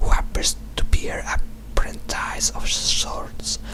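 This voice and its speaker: Noticeable background noise fills the recording. Through it, a man whispers. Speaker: ASMR video creator reading a wiki page. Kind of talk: wiki page reading, ASMR. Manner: whispered.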